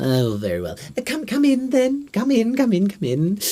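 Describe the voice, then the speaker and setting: High-pitched, put-on character voice from a man, delivered at a moderate pace. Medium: actual play.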